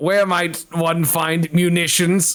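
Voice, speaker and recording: In a put-on character voice, a man speaks with high pitch and monotone, flat intonation. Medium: actual play. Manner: stilted, grandiose, speaks formally of himself in the third person.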